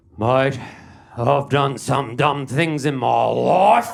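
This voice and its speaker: A raspy, put-on character voice with an Australian accent. The pace is very slow. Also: man, medium pitch for a man. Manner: weary, disappointed.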